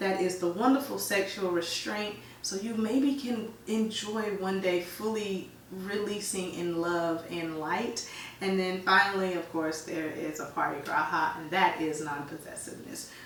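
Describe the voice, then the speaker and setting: Over noticeable background noise and audible room echo, a woman speaks in an animated tone at a fairly slow pace with ordinary pitch variation. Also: medium pitch for a woman. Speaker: yoga teacher. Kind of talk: casual explanatory talk.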